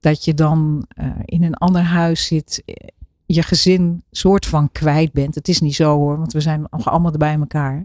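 In a dry, close sound with no echo, a woman speaks at a very deep, low pitch with a dark, mellow tone. Her intonation is monotone and flat, her pace fairly slow. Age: 60s. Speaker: author and program maker. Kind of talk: casual chat. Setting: studio.

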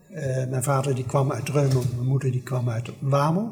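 There is noticeable background noise behind this man, whose pitch sits fairly high. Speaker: son of war evacuees, family historian. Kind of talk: oral history interview.

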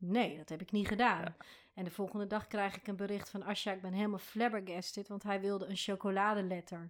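Speaking at a very fast pace, a woman keeps a monotone, flat intonation at a medium pitch. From Rotterdam, Netherlands. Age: 40s. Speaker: foundation founder and motivational speaker. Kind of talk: interview.

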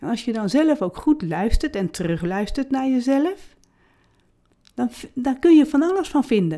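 This woman has a high pitch with very wide pitch swings. She talks at a fairly slow pace. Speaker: podcast host and author. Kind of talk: solo podcast monologue. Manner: frequent filler sounds (uh).

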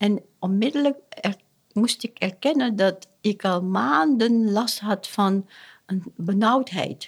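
In a very clean recording with a silent background, a woman of medium pitch speaks very slowly in a somewhat breathy voice with lively intonation. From Suriname. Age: 60s. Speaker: family therapist. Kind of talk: interview. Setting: at her home. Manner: halting.

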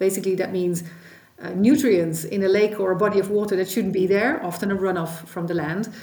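Fairly quick speech in a Dutch accent, fairly even in intonation, with audible room echo. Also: woman, medium pitch for a woman. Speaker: policy expert, former minister. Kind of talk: expert interview.

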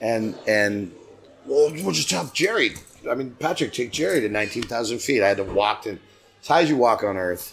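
Over music in the background, a man with a medium-pitched voice and an American accent speaks at a moderate pace with lively intonation. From US West Coast, San Diego. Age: 60s. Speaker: singer-songwriter. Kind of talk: casual interview. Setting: pub.

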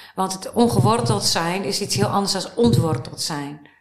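A woman talks at a moderate speed in a room with audible echo and noticeable background noise. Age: 50s. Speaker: writer and life-course therapist. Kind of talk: interview.

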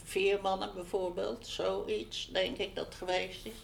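The pace is fairly slow. Room echo can be heard. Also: woman. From Netherlands, Utrecht. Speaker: interviewee, local resident. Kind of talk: oral history interview.

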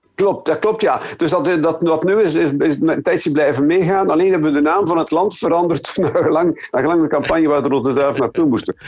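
A fairly high-pitched man speaks at a fairly quick pace with hardly any pauses and very even loudness. Noticeable background noise is present. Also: ordinary pitch variation. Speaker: songwriter and former radio presenter. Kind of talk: phone interview. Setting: phone call. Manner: halting.

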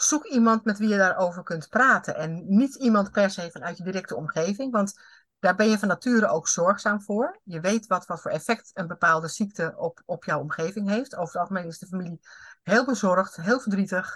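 Speaking at a fairly quick pace, a woman uses a normal speaking voice with medium pitch and ordinary pitch variation. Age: 50s. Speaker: HR consultant and coach. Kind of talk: interview.

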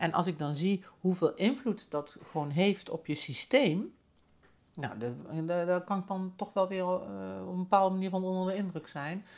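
On a very clean recording with a silent background, a woman speaks at a medium pitch. Her pace is moderate and her pitch variation ordinary. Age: 50s. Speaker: podcast host, spiritual coach. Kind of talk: personal reflective monologue. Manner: hesitant, many fillers and repetitions.

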